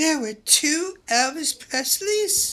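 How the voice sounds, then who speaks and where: Squeaky and high-pitched, a woman uses a put-on character voice. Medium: comedy sketch. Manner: flippant, mocking.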